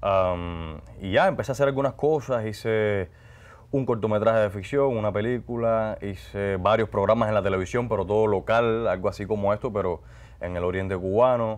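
This man has a normal speaking voice with a fairly low pitch. He talks at a moderate pace with ordinary pitch variation. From Cuba, Guantánamo; Cuba. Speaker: actor and announcer; actor, announcer. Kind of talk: interview. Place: studio. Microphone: lapel.

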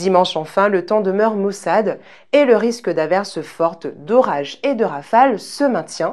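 Woman's medium-pitched voice with lively intonation, set against a quiet background. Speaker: weather presenter. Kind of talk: TV weather report, scripted and read out. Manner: formal; even, polished broadcast delivery. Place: studio. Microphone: lapel.

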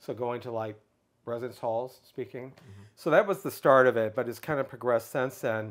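Over a quiet background, a man with an American accent talks at a fairly quick pace, with ordinary pitch variation and big swings in loudness. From US Midwest, Michigan. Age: 60s. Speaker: public speaker on LGBTQ issues. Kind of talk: interview. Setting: in person. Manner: halting. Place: home room. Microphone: lapel.

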